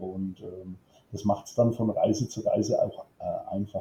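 A man's voice, somewhat breathy with a dark, mellow tone, moves at a moderate pace. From Franconia, Bavaria (Germany). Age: 50s. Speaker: football fan club board member. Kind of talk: casual interview.

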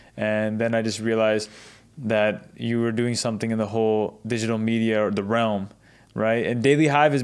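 A man talks at a moderate pace, the recording very clean and the background silent. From Seattle, US. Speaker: podcast host. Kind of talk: casual interview. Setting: studio.

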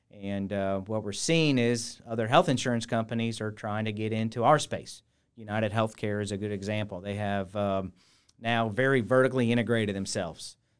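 The recording is very clean, and the background is silent. A normal speaking voice talks at a fairly quick pace, with fairly even intonation. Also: man, fairly low pitch for a man. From US Midwest, Cincinnati, Ohio. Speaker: hospital executive. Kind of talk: interview.

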